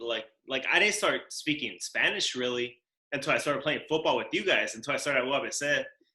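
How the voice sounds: With audible room echo, a man talks at medium pitch in a bright, sharp tone and with lively intonation. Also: fairly quick pace.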